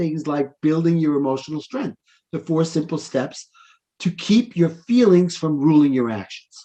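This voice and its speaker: Speaking with a New York accent, a man keeps a moderate pace and a fairly high pitch. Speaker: life coach. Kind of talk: interview conversation.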